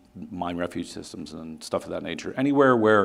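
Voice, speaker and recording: A man's fairly quick speech with audible room echo. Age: 60s. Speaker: company executive, engineer. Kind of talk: conference presentation. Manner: halting.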